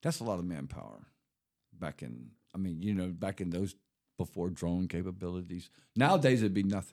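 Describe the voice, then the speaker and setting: A man's very deep, low voice in a Southern US accent, with lively intonation, a fairly quick pace and long, frequent pauses. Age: 60s. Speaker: ex-convict guest. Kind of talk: casual chat.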